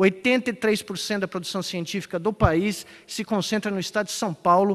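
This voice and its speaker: Speaking at a fairly quick pace, a man uses a high voice with fairly even intonation. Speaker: conference speaker. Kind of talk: conference talk.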